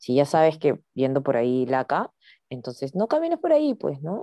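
Over a dry, close sound with no echo, a woman talks at a fairly quick pace with a very deep, low pitch and a dark, mellow tone. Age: 40s. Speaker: podcast co-host, graduate student. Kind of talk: casual chat.

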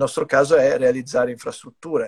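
The man speaks at a fairly quick pace with ordinary pitch variation. His sound is dry and close, with no echo. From US, New York. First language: English (speaking Italian). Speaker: company executive. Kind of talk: casual interview. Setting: video call from brother's home music studio. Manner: halting, many repetitions.

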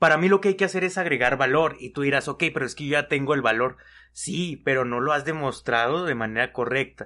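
The man's tone is bright and sharp, with fairly high pitch and ordinary pitch variation. He talks at a fairly quick pace against a quiet background. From Mexico. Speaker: podcast co-host. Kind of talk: casual chat.

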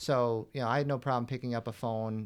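Delivered at a moderate pace in a monotone, flat intonation, the speech sits on a very clean recording with a silent background. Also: man. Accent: American. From Western New York, Buffalo area. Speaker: entrepreneur. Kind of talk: interview.

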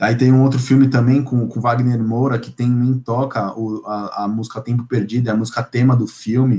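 Speaking in a São Paulo accent, a man keeps a moderate pace with hardly any pauses, his medium-pitched voice dark and mellow in tone, with monotone, flat intonation. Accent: Paulistano Brazilian Portuguese. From São Paulo, North Zone. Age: 20s. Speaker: podcast guest, music fan. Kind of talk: casual interview.

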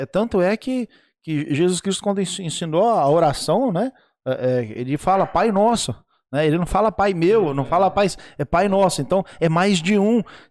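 Dry and close with no echo, the clip has a man with a high pitch speaking in an animated tone at a fairly slow pace. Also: ordinary pitch variation, very even loudness. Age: 40s. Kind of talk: casual livestream talk show.

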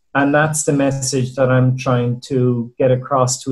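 A man speaks with an Irish accent at a moderate pace. His medium-pitched voice is somewhat breathy, with monotone, flat intonation. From Ireland. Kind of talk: group video call discussion. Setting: video call.

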